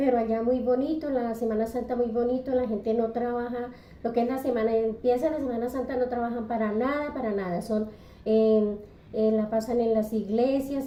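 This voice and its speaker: A woman's fairly high pitch and fairly even intonation at a fairly slow pace, with noticeable background noise and audible room echo. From Colombia, Santander. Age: 60s. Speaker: retired bakery worker. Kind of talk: interview. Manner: halting.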